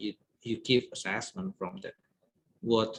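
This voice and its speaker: With an Indonesian accent, a man speaks in a dry, close sound with no echo. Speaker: guest lecturer. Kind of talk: lecture.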